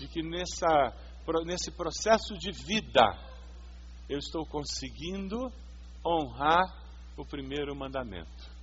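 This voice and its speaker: Speaking at a very slow pace with long, frequent pauses, a man's loudness swings widely while the room echo stays audible. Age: 50s. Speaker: pastor. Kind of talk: sermon.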